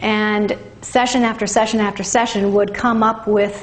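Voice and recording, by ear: A woman talks at a medium pitch with fairly even intonation. Room echo is audible around her.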